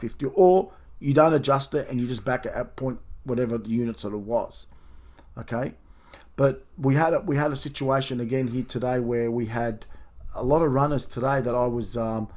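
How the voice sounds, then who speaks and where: With an Australian accent, a man speaks at a medium pitch and fairly even intonation. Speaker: professional horse racing bettor and tipster. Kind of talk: video review of race results, talking to subscribers. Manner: fast.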